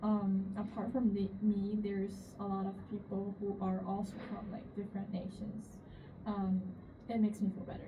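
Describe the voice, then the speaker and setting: A woman speaks in a monotone with a Chinese accent, her flat delivery caught with audible room echo and noticeable background noise. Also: medium pitch for a woman, moderate pace. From China. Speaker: international student. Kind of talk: interview. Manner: halting, many fillers.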